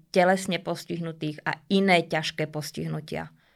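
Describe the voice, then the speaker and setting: A woman talks in a normal speaking voice at a fairly low pitch and a moderate pace. The recording is very clean, with a silent background. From Slovakia, Bratislava. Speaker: dog trainer. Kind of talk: interview. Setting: studio.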